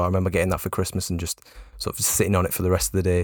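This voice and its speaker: In a Geordie accent, a man speaks with a very deep, low pitch. The recording is very clean, the background silent. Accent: north-east English (Geordie). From north-east England, Newcastle area. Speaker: football journalist and podcast host. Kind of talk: casual chat. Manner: halting, many fillers.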